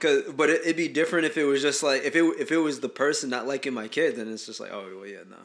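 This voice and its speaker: A man speaks very fast with hardly any pauses, his fairly high voice showing vocal fry, ordinary pitch variation and big swings in loudness. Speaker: podcast host. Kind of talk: casual chat.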